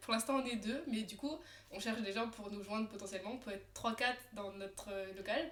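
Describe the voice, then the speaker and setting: A woman's animated, fairly high voice at a fairly quick pace, with noticeable background noise. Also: ordinary pitch variation. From France, Alsace (Colmar). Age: 20s. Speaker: tattoo artist. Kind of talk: casual chat. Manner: animated, many fillers.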